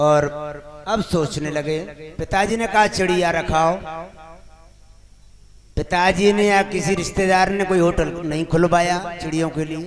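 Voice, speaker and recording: A man's high-pitched voice with monotone, flat intonation. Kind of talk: religious discourse, storytelling to a live audience.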